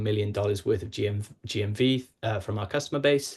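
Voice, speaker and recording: In a British accent, a man speaks at a fairly low pitch with fairly even intonation and a somewhat breathy quality. The background is quiet. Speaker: logistics partnerships manager. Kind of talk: webinar presentation. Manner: hesitant, many fillers.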